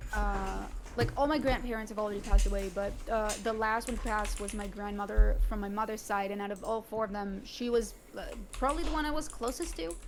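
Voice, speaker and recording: A woman at a very fast pace, fairly high in pitch, with ordinary pitch variation and audible room echo. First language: not English. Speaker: streamer, podcast guest. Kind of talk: casual chat.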